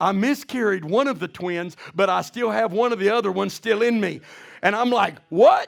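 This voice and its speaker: Loud and animated in tone, a man talks at a high pitch in a very clean recording with a silent background. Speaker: pastor. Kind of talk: sermon.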